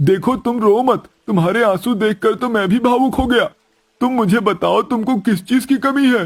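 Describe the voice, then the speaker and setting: A man uses a put-on character voice at an extremely high pitch. He keeps a moderate pace. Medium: read story.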